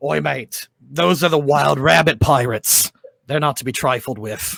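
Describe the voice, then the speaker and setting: A man's gruff, raspy put-on character voice at a medium pitch and moderate pace. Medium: actual play. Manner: gruff, says mate.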